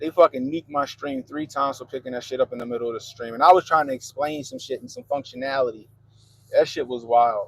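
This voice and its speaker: An American-accented man at a very fast pace and fairly high pitch, with fairly even intonation, big swings in loudness, and a dry, close sound with no echo. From US, Baltimore, Maryland. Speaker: live streamer. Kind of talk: casual live stream chat reading comments. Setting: live stream. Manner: monotone.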